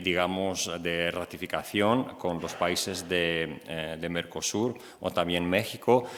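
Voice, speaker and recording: A man speaks at a fairly slow pace with a Greek accent. His pitch is very deep and low, and his tone is bright and sharp. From Greece. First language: Greek (speaking Spanish). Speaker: EU press officer. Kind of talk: conference presentation. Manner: halting, many fillers.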